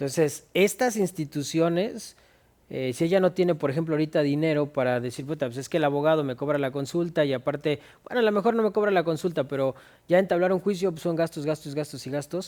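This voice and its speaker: A man with a Mexican accent, fairly high in pitch, at a very fast pace with ordinary pitch variation. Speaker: lawyer co-host. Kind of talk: casual legal discussion.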